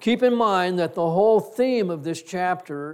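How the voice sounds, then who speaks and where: This man has a high-pitched voice. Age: 60s. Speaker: pastor. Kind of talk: sermon. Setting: church. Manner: halting.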